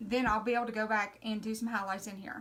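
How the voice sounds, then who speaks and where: With an American accent, a woman talks in a fairly high, bright and sharp voice with ordinary pitch variation. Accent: Southern US drawl, self-described redneck. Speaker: craft painting instructor. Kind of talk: live painting tutorial. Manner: casual, chatty.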